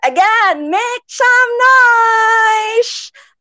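In a Filipino accent, a woman speaks with an animated, energetic delivery, a bright, sharp tone and very wide pitch swings, all in a dry, close sound without echo. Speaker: Twitter Space moderator. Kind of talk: moderated online discussion, Taglish. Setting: Twitter Space audio.

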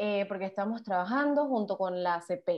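An ordinary speaking voice from a woman, pitched in the medium range and showing ordinary pitch variation. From Panama. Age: 20s. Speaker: psychology student and activist. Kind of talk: casual interview chat.

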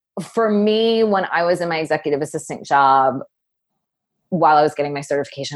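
At a fairly quick pace, a woman talks in an animated tone. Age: 40s. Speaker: business coach for creative women. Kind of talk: interview conversation.

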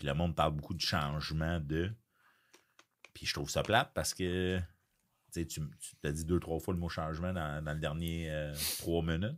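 Speaking in a Quebec accent at a moderate pace, the voice stays monotone and flat. Long, frequent pauses break it up in a very clean recording with a silent background. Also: man, very deep, low pitch for a man. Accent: Québécois French. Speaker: podcast host. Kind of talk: casual chat.

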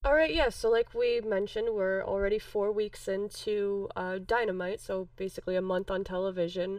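At a moderate pace, a plain, everyday voice speaks with an American accent and ordinary pitch variation. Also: woman, medium pitch for a woman. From Chicago. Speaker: wrestling podcast co-host. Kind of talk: casual chat.

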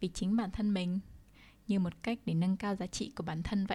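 Over a silent background in a very clean recording, a woman speaks at a medium pitch with a somewhat breathy, dark, mellow tone and fairly even intonation. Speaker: podcast host. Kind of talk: casual monologue.

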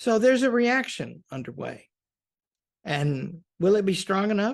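At a moderate pace, a man with an American accent speaks at a high pitch against a quiet background. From US South, Arkansas. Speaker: college president. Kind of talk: interview.

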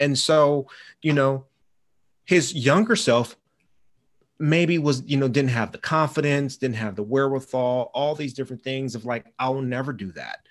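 A man talks at a moderate pace in an ordinary speaking voice, with medium pitch and ordinary pitch variation. The background is quiet. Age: 40s. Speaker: data and systems analyst. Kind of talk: casual chat.

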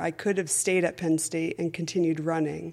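Speaking in an ordinary speaking voice with an American accent, a woman keeps her fairly low pitch fairly even. The recording is very clean, with a silent background. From Connecticut, US. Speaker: running coach, former college runner. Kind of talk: interview.

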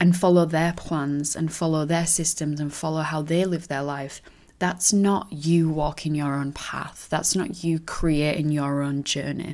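On a very clean recording with a silent background, a woman with a normal speaking voice talks at a fairly low pitch and a moderate pace. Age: 20s. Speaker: podcast host and business coach for teachers. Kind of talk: solo podcast monologue.

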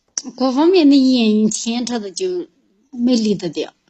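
A woman with a Yunnan accent speaks at a fairly slow pace in a high voice, her pitch swinging very widely. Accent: Yunnan dialect, close to her Mandarin. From Yunnan, China (Qujing). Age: 30s. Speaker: caller seeking relationship advice. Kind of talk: phone-in advice call.

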